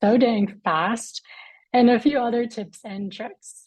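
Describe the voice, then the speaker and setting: The speaker is a woman with a somewhat breathy voice. Her pitch rises and falls in an ordinary way. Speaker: chef and culinary director. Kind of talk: live webinar presentation.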